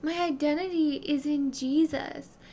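Against light background noise, a woman with a Southern US accent speaks very slowly in a high pitch, her dark, mellow tone carrying fairly even intonation. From US South, South Carolina. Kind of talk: devotional talk. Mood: earnest, reflective. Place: home room. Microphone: studio mic.

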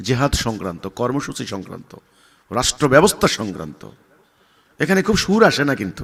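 A man talks at a medium pitch with vocal fry. His pitch swings very widely. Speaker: religious leader. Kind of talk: answering a question, speech-like explanation. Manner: loud, forceful; sharp, stern tone.

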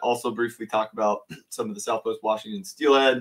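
A man speaks at a fairly quick pace, and the background is quiet. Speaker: fishing channel host. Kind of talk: live stream commentary. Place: home room.

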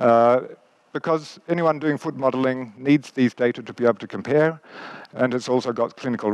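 A man speaks with an Australian accent at a fairly quick pace, with a medium pitch and fairly even intonation. The sound is dry with no echo, over a quiet background. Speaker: biomechanics professor. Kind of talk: lecture. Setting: stage with audience. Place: stage. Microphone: headset.

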